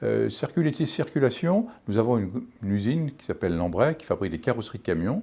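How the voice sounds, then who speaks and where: A man with a medium-pitched, dark, mellow voice and vocal fry speaks at a very fast pace, his loudness swinging widely and his pitch ranging very widely. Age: 60s. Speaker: local election candidate. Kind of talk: campaign statement. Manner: hesitant, with fillers and restarts.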